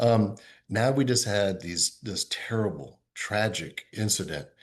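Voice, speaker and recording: A man speaks in a somewhat breathy voice with a fairly low pitch. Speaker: diplomat. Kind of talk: interview. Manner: fast; halting.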